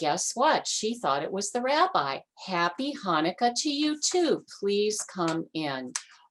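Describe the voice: The clip is plain reading aloud. The words are simply read out.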